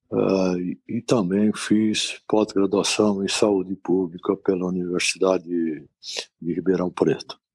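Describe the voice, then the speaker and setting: Calm and monotone with flat intonation, a man with a very deep, low pitch speaks at a fairly slow pace in a dry, close sound with no echo. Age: 60s. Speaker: physician, infectious disease specialist. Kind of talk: interview.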